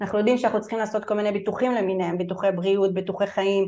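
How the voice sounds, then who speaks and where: Dark, mellow female tone with fairly even intonation. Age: 30s. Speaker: family law attorney. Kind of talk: webinar lecture. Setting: online webinar.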